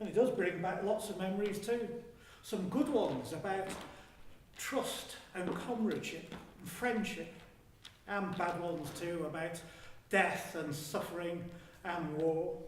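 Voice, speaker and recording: A man at a high pitch with ordinary pitch variation, fairly slow and full of long, frequent pauses, over noticeable background noise. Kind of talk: historical monologue, first-person storytelling, theatrical performance. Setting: live theatre performance in a hall. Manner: conversational, humorous, addressing the audience directly.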